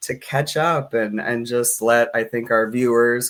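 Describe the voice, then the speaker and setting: Against a silent background in a very clean recording, a man with an unremarkable speaking voice talks at a moderate pace. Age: 30s. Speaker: community organization director and show host. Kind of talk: live-streamed interview. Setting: live stream.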